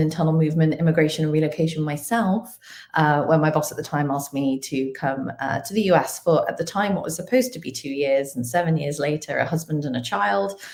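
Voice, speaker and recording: A woman with a British accent speaks at a fairly quick pace. Her voice is very deep and low in pitch, with ordinary pitch variation. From UK, earlier Kenya. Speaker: talent acquisition executive. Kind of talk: live webinar interview. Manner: frequent fillers (um, uh).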